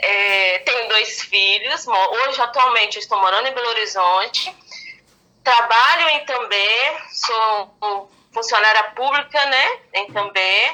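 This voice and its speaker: A woman talks at a very slow pace with very even loudness and ordinary pitch variation. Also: fairly high pitch for a woman. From Brazil, Minas Gerais interior. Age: 40s. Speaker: speech therapist. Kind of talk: podcast interview.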